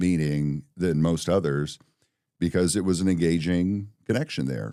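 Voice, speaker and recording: A man with an American accent has a very deep, low pitch and a dark, mellow tone. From Colorado. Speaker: insurance agency owner and voiceover artist. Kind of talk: casual interview chat.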